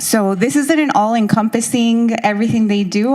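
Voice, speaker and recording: Her pitch moves with ordinary variation. The woman keeps a moderate pace. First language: Spanish. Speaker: school district education director. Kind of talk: presentation at consultation meeting. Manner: hesitant, many fillers.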